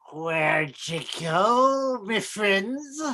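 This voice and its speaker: The pitch sits fairly high. It's a put-on character voice. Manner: snarling, menacing.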